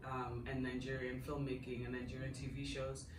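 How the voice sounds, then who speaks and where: Noticeable background noise fills the clip. Through it, a woman speaks at a moderate pace. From Nigeria. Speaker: marketing executive. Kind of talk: interview. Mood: warm, enthusiastic. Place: home room.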